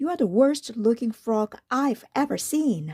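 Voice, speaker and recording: A woman puts on a character voice. Her pitch is fairly high. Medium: read story.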